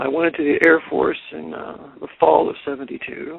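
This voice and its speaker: This is a man speaking with a Californian accent. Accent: General American (Californian). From US West Coast, California Bay Area. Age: 60s. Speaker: author. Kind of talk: radio interview, life story. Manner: hesitant fillers (uh, um).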